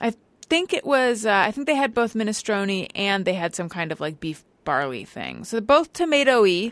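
A woman's fairly high voice with very wide pitch swings and a slight Californian accent, at a fairly quick pace, on a very clean recording with a silent background. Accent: slight California. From Southern California. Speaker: podcast host. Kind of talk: casual chat. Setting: studio.

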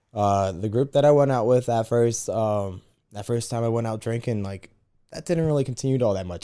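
A man with an American accent, dark, mellow tone and fairly quick pace. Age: 20s. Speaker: podcast co-host. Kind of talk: casual chat.

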